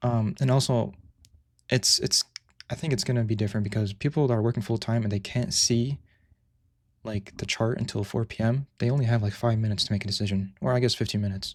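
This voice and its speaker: At a very fast pace, a somewhat breathy voice with ordinary pitch variation comes through on a very clean recording with a silent background. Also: man, medium pitch for a man. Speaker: day trader streaming live trades. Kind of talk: live stream tutorial with chat Q&A. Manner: casual, halting with repetitions.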